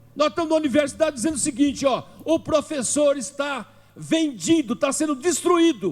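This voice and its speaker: Extremely high-pitched male speech delivered at a moderate speed. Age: 70s. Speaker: philosophy teacher and activist. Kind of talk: political speech at a seminar. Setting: legislative assembly seminar. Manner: impassioned, rhetorical.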